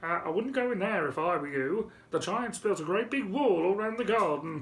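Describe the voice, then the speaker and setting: The pitch sits in the middle range for this put-on character voice. Its pace is moderate. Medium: read story.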